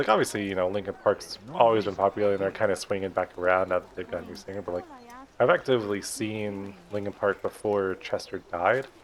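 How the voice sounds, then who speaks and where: Amid noticeable background noise, a man talks very fast at a fairly low pitch, his loudness swinging widely. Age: 20s. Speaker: gaming let's play creator. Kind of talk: casual gameplay commentary. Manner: casual, filler-heavy.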